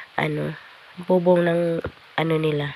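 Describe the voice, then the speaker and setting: The speech moves at a fairly slow pace with monotone, flat intonation. Noticeable background noise runs underneath. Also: woman. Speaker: vlogger. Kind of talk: casual vlog narration. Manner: halting, many fillers.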